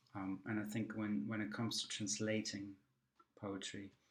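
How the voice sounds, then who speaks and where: A man with a German accent speaks at a fairly low pitch with monotone, flat intonation. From Germany. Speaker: poet. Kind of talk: recorded talk. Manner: hesitant, many fillers.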